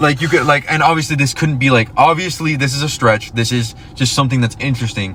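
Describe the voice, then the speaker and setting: Very fast speech with ordinary pitch variation over noticeable background noise. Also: man, fairly high pitch for a man. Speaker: podcast host. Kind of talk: casual chat. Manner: halting, many fillers.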